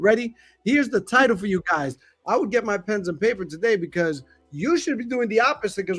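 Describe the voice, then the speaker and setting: Loud and fairly quick, a man talks at a high pitch with very wide pitch swings. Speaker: podcast host. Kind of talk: podcast intro.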